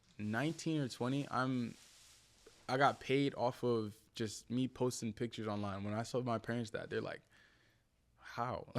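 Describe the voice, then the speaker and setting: A man with a New Jersey accent speaks at medium pitch and a moderate pace, his intonation fairly even, with long, frequent pauses on a very clean recording with a silent background. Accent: New Jersey American. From New Jersey, US (Willingboro). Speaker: content creator and former model. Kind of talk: podcast interview. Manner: casual.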